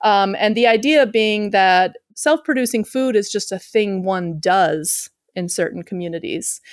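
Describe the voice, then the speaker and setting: Speaking at a fairly slow pace in a plain, everyday voice, a woman with an American accent keeps a medium pitch with ordinary variation on a very clean recording with a silent background. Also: dry, close sound with no echo. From Chicago, US Midwest. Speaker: sociologist and author. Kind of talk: interview conversation.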